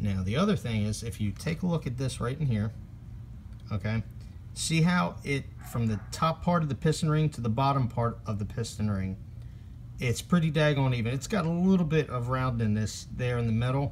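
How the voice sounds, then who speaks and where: A somewhat breathy man speaks at a moderate pace. Light background noise can be heard. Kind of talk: tutorial. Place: workshop. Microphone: phone near.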